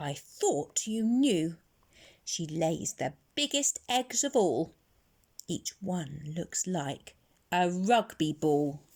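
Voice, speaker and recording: Delivered very slowly, the lines come in a put-on character voice. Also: female-sounding voice, fairly low pitch for a woman. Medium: read story.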